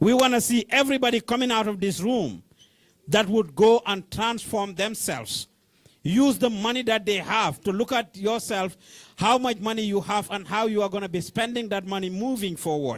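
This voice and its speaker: On a very clean recording with a silent background, a man with a Senegalese accent talks at a moderate pace in a high pitch with ordinary pitch variation. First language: Wolof. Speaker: community organizer. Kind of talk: closing address to workshop audience. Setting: meeting room with live audience.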